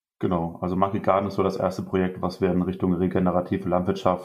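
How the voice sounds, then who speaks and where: This man's very deep, low voice moves at a very fast pace. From Germany, Rhineland-Palatinate. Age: 20s. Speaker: organic farmer and agriculture student. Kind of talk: podcast interview.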